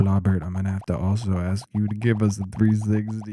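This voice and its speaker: A man is speaking. Music plays in the background. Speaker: comedy YouTuber hosting parody dating show. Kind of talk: comedic skit and casual monologue. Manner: animated.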